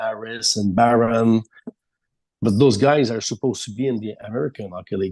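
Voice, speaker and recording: A man with a French Canadian accent talks at a moderate pace. His medium-pitched voice has a dark, mellow tone and ordinary pitch variation. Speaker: sports reporter. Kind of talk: casual interview. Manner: halting.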